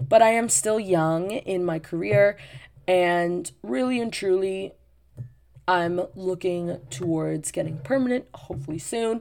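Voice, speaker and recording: Music plays in the background as someone speaks at a very slow pace. The intonation is lively. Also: woman. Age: 20s. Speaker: podcast host, teacher. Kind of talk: casual monologue.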